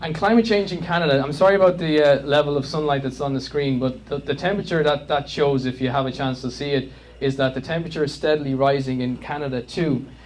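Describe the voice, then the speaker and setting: A man's fairly high voice in an Irish accent, fairly quick and with ordinary pitch variation. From Ireland. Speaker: climate campaigner. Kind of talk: public presentation. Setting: community meeting with audience. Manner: hesitant, filler-heavy.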